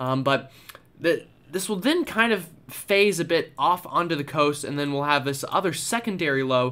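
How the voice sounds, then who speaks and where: The voice has a bright, sharp tone and lively intonation, moving at a moderate pace. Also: man, fairly high pitch for a man. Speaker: weather YouTuber and forecaster. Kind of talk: weather forecast briefing. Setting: home or studio video recording with screen-shared maps. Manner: explanatory, conversational, fairly casual; filler-heavy, with frequent uh and um.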